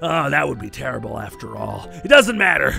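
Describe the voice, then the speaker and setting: A man does a put-on character voice with clear music in the background. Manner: forlorn, whiny, then hopeful.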